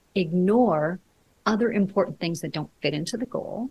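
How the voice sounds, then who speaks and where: A woman's somewhat breathy voice moves at a moderate speed, her intonation lively. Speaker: leadership coach. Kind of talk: interview.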